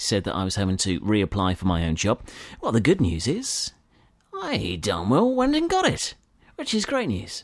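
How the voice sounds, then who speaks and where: With a British accent, a man speaks at a moderate pace in an upbeat, warm tone. His pitch swings very widely. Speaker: podcast host. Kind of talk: radio DJ patter, a chatty scripted-sounding intro with sign-off. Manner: upbeat, warm and chatty, easygoing presenter style; bright, friendly, with casual fillers and jokes to the listener.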